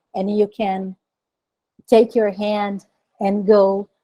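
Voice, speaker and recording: Her tone is dark and mellow, in a dry, close sound with no echo. The woman speaks at a very slow pace with monotone, flat intonation. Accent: Portuguese. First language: Portuguese. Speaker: designer and author. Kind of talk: conference talk. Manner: halting.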